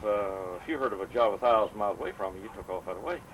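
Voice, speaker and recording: Speaking at a fairly quick pace, a man has a medium pitch. Noticeable background noise can be heard. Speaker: elderly family member telling stories. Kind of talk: casual family chat, oral history.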